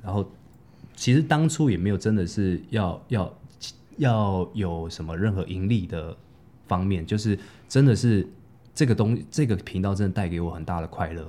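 Speaking at a moderate pace with long, frequent pauses, a man with a fairly low pitch uses lively intonation and has a dark, mellow tone. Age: 30s. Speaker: actor and parkour coach. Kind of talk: casual interview.

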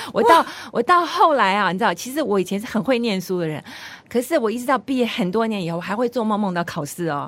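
Her pitch swinging very widely, a woman talks at a very fast pace. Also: fairly high pitch for a woman. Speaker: radio host. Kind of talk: radio interview.

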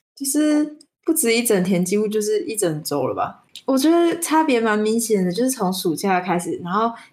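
This woman's fairly high voice makes very wide pitch swings at a moderate pace. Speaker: podcast co-host. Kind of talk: casual chat. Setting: remote online call.

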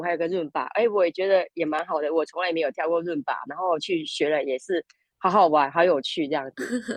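A woman speaks at a very fast pace, with fairly low pitch and ordinary pitch variation. The sound is dry and close, with no echo. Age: 50s. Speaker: language school student. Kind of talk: interview.

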